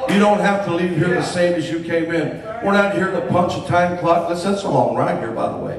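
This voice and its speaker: With an American accent, a high-pitched man speaks at a fairly quick pace with hardly any pauses and fairly even intonation, over noticeable background noise. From Miami, Florida. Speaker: testimony giver, former business owner. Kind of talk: testimony. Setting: church.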